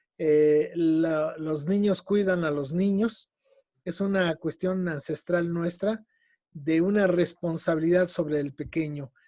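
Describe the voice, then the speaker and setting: A man speaks at a very slow pace with a central Mexican accent, his voice high-pitched and dark and mellow in tone. His intonation stays fairly even over a quiet background. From Mexico City. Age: 60s. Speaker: educator and lecturer on ancient Mexican culture. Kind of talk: radio interview.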